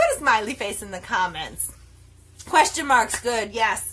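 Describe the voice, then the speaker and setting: Noticeable background noise behind a high-pitched woman's voice at a fairly slow pace, with very wide pitch swings. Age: 50s. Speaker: network marketer and health coach. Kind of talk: live video talk to followers. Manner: animated.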